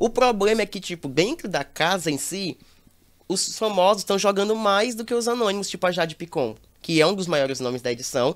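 A man speaks in a high voice at a fairly quick pace with lively intonation, on a very clean recording with a silent background. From Brazil, Teresina (Piauí). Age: 20s. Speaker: reality show commentator influencer. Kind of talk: casual chat.

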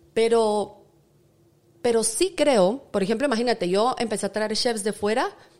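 A woman speaks in a plain, everyday voice at a fairly slow pace, with ordinary pitch variation. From Guatemala. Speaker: chef and TV presenter. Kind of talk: interview conversation. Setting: restaurant kitchen set.

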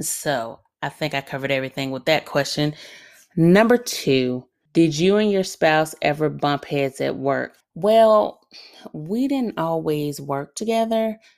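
A woman with a Southern US accent talks fairly slowly at a very deep, low pitch with very wide pitch swings, in a very clean recording with a silent background. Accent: Southern American. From Alabama, US South. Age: 30s. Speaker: podcast host, military veteran. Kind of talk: solo Q&A podcast monologue. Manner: conversational, laughs often.

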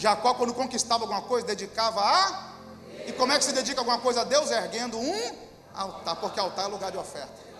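Very fast speech with ordinary pitch variation, audible room echo and noticeable background noise. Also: man, extremely high pitch for a man. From Brazil, countryside. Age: 30s. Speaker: pastor. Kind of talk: sermon.

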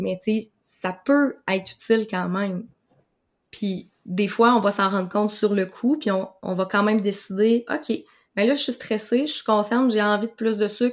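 A woman with a fairly high voice speaks at a fairly slow pace with fairly even intonation. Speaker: nutritionist. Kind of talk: interview conversation. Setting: video call.

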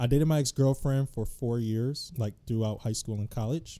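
Someone with an American accent speaks at a moderate pace in a dark, mellow tone. Pitch variation is ordinary, and the recording is very clean with a silent background. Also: man. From Detroit, Michigan. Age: 20s. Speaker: social media producer. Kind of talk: casual chat.

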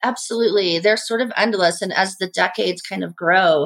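A woman at medium pitch with a Midwestern American accent, fairly quick pace, ordinary pitch variation, and a dry, close sound with no echo. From US Midwest (Indiana). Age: 50s. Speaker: chef. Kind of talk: casual chat.

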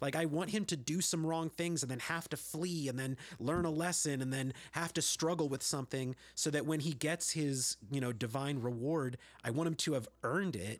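A man with an American accent talks at a moderate pace, his pitch fairly high with ordinary variation. The recording is very clean, with a silent background. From US, San Jose, California. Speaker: singer-songwriter and children's worker. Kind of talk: casual chat.

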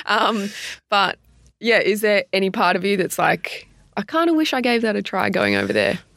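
Speaking at a moderate pace, a woman with a medium pitch, vocal fry and lively intonation keeps her loudness very even. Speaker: podcast host and AFLW player. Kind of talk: casual interview chat. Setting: in person, studio.

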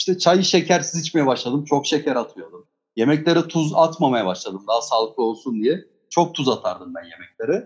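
With a normal speaking voice, a man talks at a moderate pace, his fairly high pitch moving in lively intonation. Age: 30s. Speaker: guest, music enthusiast. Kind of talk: casual discussion.

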